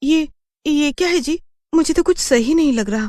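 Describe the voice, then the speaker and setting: A cartoonish character voice, female-sounding and high-pitched, moving at a fairly quick pace. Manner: wary, questioning.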